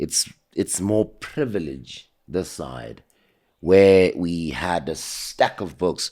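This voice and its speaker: This man speaks in a very deep, low voice with a South African accent. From South Africa, Soweto (Zola/Jabulani). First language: isiZulu. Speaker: homeless man telling his life story. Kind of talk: interview. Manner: well spoken.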